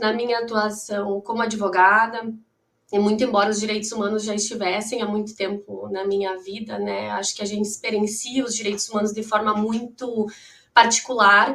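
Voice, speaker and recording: A woman speaks with a Rio Grande do Sul accent at a fairly high pitch. Her intonation is monotone and flat, her pace moderate. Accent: gaúcho (Rio Grande do Sul). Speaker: lawyer and professor, victims' association representative. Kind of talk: panel talk.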